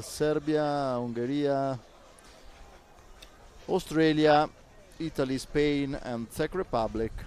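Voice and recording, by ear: A man's fairly high, slightly mellow voice at a slow pace, with ordinary pitch variation and long, frequent pauses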